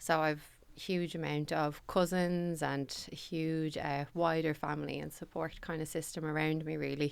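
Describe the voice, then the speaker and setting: Very deep, low pitch from a woman with a Dublin accent, monotone and flat in intonation, at a moderate pace. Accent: Dublin Irish. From Ireland, Dublin (Ballybrack). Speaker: company managing director. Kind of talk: podcast interview. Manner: loud.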